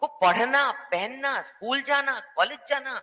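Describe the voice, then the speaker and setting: A woman is speaking. Her intonation is lively. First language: not Hindi (speaking Hindi). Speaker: panel speaker. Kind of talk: panel discussion. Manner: halting.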